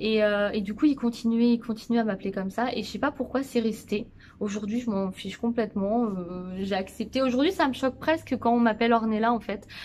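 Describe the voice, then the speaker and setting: A woman speaks with fairly high pitch and ordinary pitch variation. Her pace is fairly quick. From Brittany, France (Saint-Brieuc). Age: 20s. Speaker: family vlogger. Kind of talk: casual chat to camera. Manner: hesitant, many fillers.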